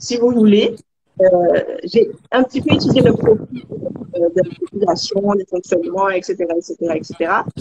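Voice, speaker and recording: A woman speaks with lively intonation in a Guadeloupean accent. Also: medium pitch for a woman, moderate pace. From Guadeloupe (Marie-Galante). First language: Guadeloupean Creole (speaking French). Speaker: Caribbean cooperation activist. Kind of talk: interview. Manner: hesitant, many fillers.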